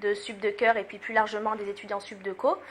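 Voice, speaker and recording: A woman's fairly high-pitched voice. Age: 20s. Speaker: student association president. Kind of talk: interview. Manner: hesitant, many fillers.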